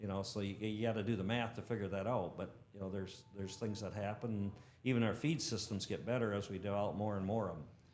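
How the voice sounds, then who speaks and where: Speaking at a very fast pace, a man uses a fairly low pitch. Audible room echo surrounds his voice. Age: 60s. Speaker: shredding equipment technician. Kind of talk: podcast interview. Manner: enthusiastic.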